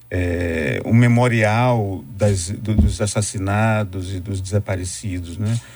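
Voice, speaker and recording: A somewhat breathy man's voice at a fairly low pitch. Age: 50s. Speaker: professor and writer. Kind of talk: radio interview.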